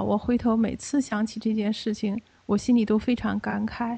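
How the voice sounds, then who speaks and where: Her voice sits at a fairly high pitch for a woman. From Beijing, China. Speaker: Falun Gong practitioner. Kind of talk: testimony. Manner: halting, with many fillers.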